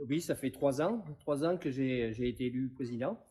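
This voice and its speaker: A man talks in a medium pitch, and his pitch varies in an ordinary way. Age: 60s. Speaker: farmer and riding association president. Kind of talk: interview. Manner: hesitant, many fillers.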